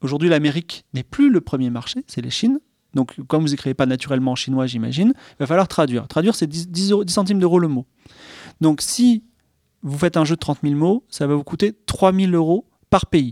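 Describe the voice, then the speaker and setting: In a very clean recording with a silent background and a dry, close sound with no echo, the voice has a dark, mellow tone. It moves at a fairly quick pace with lively intonation and big swings in loudness. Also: man, fairly high pitch for a man. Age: 40s. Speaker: video game and TV screenwriter. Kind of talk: casual chat.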